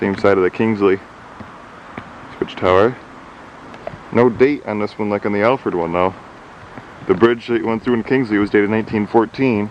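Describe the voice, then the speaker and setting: A man's fairly low voice with fairly even intonation, long, frequent pauses and noticeable background noise. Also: moderate pace. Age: 20s. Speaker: railroad enthusiast. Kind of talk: video narration. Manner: casual.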